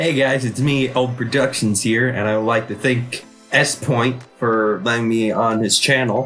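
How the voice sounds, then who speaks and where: Music plays behind a man with a medium pitch. He speaks fairly slowly, his intonation fairly even. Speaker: gaming YouTuber.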